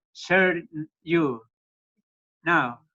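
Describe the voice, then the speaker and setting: A high-pitched male voice at a very slow pace. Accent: Spanish. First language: Spanish. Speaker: missionary. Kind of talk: brief greeting. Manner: halting.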